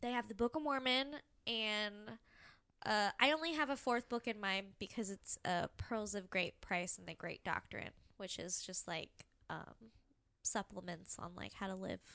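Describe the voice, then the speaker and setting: Speaking at a moderate pace with a Californian accent, a woman uses a medium pitch, a bright, sharp tone and lively intonation, in a dry, close sound with no echo. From California, Orange County. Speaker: astrology enthusiast, game master. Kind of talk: casual chat.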